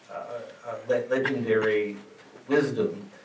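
A man speaks over noticeable background noise. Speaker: scholar on panel. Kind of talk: panel discussion. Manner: halting.

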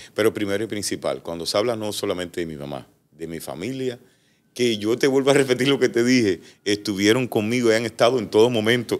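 Using vocal fry, a man talks at a fairly quick pace. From Cuba. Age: 40s. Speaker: entertainer; interview guest. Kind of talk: casual interview. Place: studio. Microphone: studio mic.

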